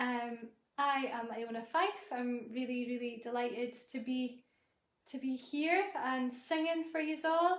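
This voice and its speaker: A fairly slow pace and ordinary pitch variation, with audible room echo. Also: woman. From Scotland, Aberdeenshire (Huntly). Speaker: folk singer. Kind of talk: casual live-stream chat. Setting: home live stream on laptop. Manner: casual, hesitant with many fillers.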